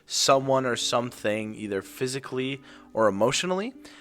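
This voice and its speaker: A man speaks at a moderate pace in a medium pitch, with lively intonation and an unremarkable speaking voice. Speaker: student podcast host. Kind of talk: interview.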